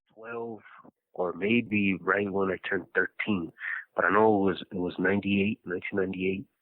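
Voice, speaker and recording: Delivered at a moderate pace, the speech comes with an American accent and a monotone, flat intonation. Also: man, fairly low pitch for a man. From Los Angeles, California. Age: 30s. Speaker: incarcerated former gang member. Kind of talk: personal life story interview. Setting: prison phone call.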